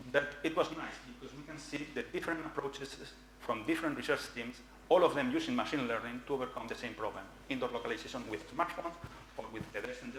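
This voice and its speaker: A man with a fairly high pitch talks at a very fast pace, his loudness swinging widely. Audible room echo and noticeable background noise fill the recording. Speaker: researcher presenting at a conference. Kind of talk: conference talk.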